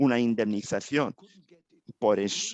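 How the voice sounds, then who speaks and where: Dry and close with no echo, the speech moves at a very slow pace with fairly even intonation. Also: man. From Israel. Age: 80s. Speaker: rabbi and human rights activist. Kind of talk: testimony. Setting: synagogue ceremony. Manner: halting.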